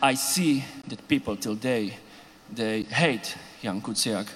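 Against noticeable background noise, a man with a Slovak accent speaks with ordinary pitch variation. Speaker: composer. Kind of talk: panel discussion. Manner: halting.

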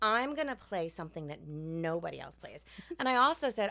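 Bright and sharp, a woman with a New York accent races along very fast with very wide pitch swings. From New York City. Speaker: Broadway actress. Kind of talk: interview. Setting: theater backstage room.

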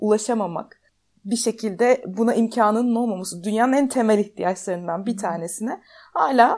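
A woman's voice sits at a fairly high pitch and has a dark, mellow tone. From Turkey, Ankara. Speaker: podcast host. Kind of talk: interview.

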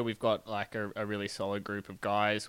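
A man talks at a moderate pace. His fairly low voice has a bright, sharp tone. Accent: Australian. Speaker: professional cyclist. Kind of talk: interview.

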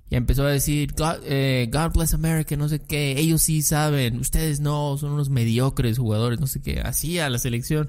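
There's audible room echo around this man's fairly high voice, which keeps a fairly even intonation at a moderate pace with hardly any pauses. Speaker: podcast co-host. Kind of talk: casual chat.

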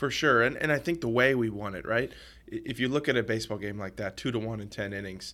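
A man with an American accent, a medium pitch and a bright, sharp tone, at a fairly quick pace in a very clean recording with a silent background. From US South, New Orleans. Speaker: professional baseball pitcher. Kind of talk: podcast interview. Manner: halting, frequent restarts.

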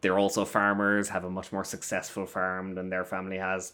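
In a southern Irish accent, a man speaks at a moderate pace. The recording is very clean, with a silent background. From Ireland, Waterford area (south coast). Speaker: film festival critic. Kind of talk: casual chat.

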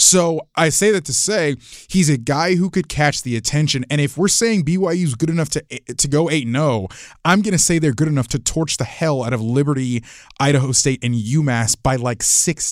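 A man with a plain, everyday voice, fairly high in pitch and fairly quick, in a dry, close sound with no echo on a very clean recording with a silent background. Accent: American. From Florida. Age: 20s. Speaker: college football writer. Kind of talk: casual chat.

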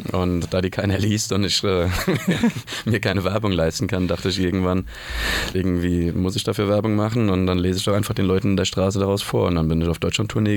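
A man talks at a very fast pace in a very deep, low pitch with fairly even intonation. Noticeable background noise is present. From Germany, Mainz. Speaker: punk band singer and author. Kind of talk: casual chat. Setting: radio studio.

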